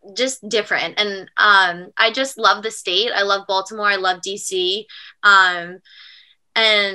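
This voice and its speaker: A woman with an American accent speaks very slowly in a bright, sharp voice with monotone, flat intonation, on a very clean recording with a silent background. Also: medium pitch for a woman. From Long Island, New York. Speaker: college lacrosse player. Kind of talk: podcast interview.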